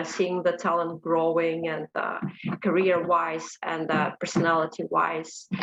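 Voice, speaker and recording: With noticeable background noise, a woman speaks at a fairly slow pace. Her pitch is fairly low. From Ukraine. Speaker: HR professional. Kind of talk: self-introduction.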